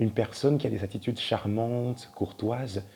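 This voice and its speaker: Somewhat breathy delivery pairs with a dark, mellow tone. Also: man. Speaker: tarot card reader. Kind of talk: tarot reading. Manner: casual, hesitant.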